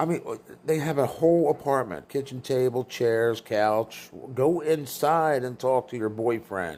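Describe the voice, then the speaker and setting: A man talks at a fairly slow pace with a medium pitch and ordinary pitch variation. It is a plain, everyday voice. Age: 60s. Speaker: vlogger filming neighbors. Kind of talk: casual running commentary. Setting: indoors at apartment door. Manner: sarcastic, mocking.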